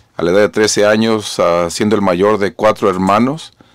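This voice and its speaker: A man's fairly low voice, fairly slow and fairly even in intonation, dry with no echo against a quiet background. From Mexico, Jalisco; raised in California from age 13. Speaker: mayor. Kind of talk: radio interview. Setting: mobile studio. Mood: earnest, grave at times. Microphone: studio mic.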